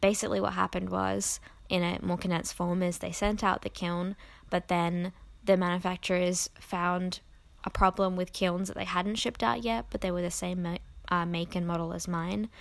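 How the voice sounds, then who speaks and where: Soft-spoken and fairly low-pitched, a woman talks at a moderate pace with fairly even intonation on a very clean recording with a silent background. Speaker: podcast host and Patreon creator. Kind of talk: casual solo podcast chat. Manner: filler-heavy, casual.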